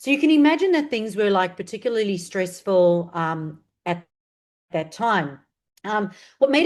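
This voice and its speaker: A woman speaks with a South African accent at a moderate pace, her intonation lively. The background is quiet. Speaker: marketing strategist. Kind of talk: interview.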